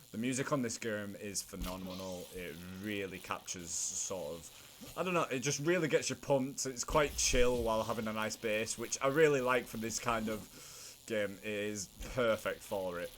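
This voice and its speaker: At a moderate pace, a man with a medium pitch and a strong northern English accent talks with lively intonation. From northern England. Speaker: gaming video creator. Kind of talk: gameplay commentary. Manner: animated.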